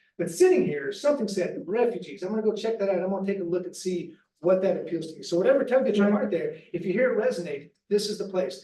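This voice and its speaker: Talking at a very fast pace, a man with an American accent has a high pitch and ordinary pitch variation. Audible room echo surrounds his voice. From Missouri, Bootheel. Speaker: nonprofit refugee resettlement staffer. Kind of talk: presentation to church group.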